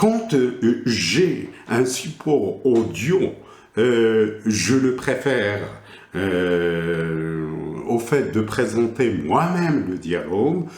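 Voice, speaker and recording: A man with a slight Moroccan accent speaks at a very slow pace and a medium pitch. His pitch swings very widely, and the room echo is audible. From Morocco. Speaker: teacher trainer / educational supervisor. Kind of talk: lecture. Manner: halting, many hesitations.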